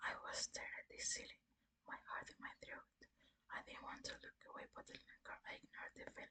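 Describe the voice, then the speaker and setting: Someone whispers at a moderate pace. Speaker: ASMR creator. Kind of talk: soft whispered horror story reading for sleep. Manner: soft, whispering, relaxing.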